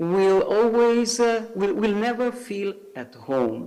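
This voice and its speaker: Someone speaks at a very slow pace in an Italian accent, with audible room echo and noticeable background noise. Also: man. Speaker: civil society representative. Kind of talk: conference speech. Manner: halting, many fillers.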